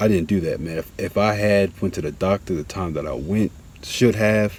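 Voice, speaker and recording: A man mumbling, with ordinary pitch variation. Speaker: vlogger. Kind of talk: casual monologue. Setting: outdoors. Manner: halting.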